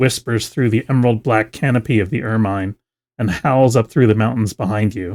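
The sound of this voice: The reading voice is unforced. Things are quiet in the background.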